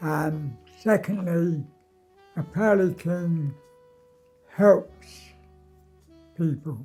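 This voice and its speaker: Over music in the background, a man with a high pitch talks at a very slow pace, with ordinary pitch variation and long, frequent pauses. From London. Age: 80s+. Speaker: Pearly King, charity fundraiser. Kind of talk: interview answer.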